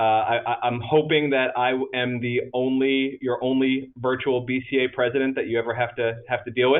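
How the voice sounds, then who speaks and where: A man at a medium pitch speaks in a flat monotone, with hardly any pauses. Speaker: association president. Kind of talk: virtual meeting presentation. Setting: video conference from office. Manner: fast; hesitant, many fillers and repetitions.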